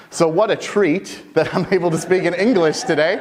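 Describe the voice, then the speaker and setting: Noticeable background noise sits beneath a man talking with an American accent. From US Midwest, Michigan. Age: 20s. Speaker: mainframe technical specialist, conference speaker. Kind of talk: conference talk. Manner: fast; animated.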